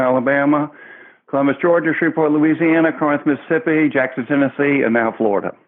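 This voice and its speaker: This man has a Southern US accent and a fairly high pitch. He talks at a very fast pace with ordinary pitch variation. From US South. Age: 60s. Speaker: children's entertainer in pirate costume. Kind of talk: interview.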